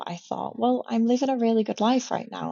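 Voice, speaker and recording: With a British accent, a woman speaks using ordinary pitch variation. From UK. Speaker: newly qualified commercial pilot. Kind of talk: interview. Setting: video call from a hotel room.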